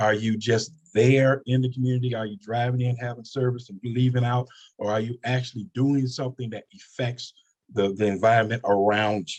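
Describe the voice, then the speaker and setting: Speaking at a fairly quick pace, a man has an unremarkable speaking voice at medium pitch. His intonation is fairly even, though his loudness swings a lot. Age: 60s. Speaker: pastor. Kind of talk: panel discussion.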